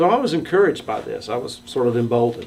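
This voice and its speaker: Noticeable background noise accompanies a man speaking at a medium pitch. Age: 60s. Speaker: storyteller sharing coming-out story. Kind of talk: personal testimony.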